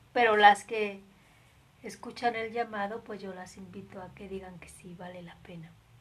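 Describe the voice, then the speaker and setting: At a moderate pace, a woman talks at a medium pitch in a flat, monotone way, with big swings in loudness. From Mexico. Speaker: nun. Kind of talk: spiritual reflection livestream. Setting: live stream.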